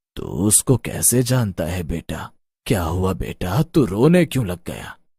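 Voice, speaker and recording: A man puts on a character voice, calm in tone and fairly low in pitch, with very wide pitch swings at a fairly slow pace. The recording is very clean and silent behind him, dry and close with no echo. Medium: audio drama. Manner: calm, fatherly.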